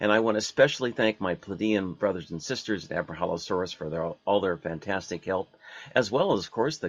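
A man with a plain, everyday voice and fairly low pitch. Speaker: radio host. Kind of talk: radio show interview.

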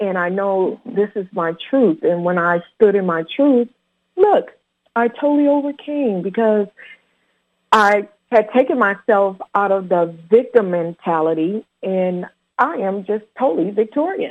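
A woman with an ordinary speaking voice at medium pitch, at a fairly slow pace. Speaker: radio host. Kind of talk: radio interview.

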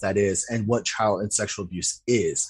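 This man speaks with an American accent. His voice is somewhat breathy. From US, Utah. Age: young. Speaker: filmmaker. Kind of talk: interview about personal trauma.

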